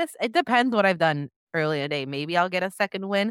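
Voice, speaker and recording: A woman with a medium pitch makes very wide pitch swings in a dry, close sound with no echo. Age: 30s. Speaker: podcast host, brand strategist. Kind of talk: casual chat.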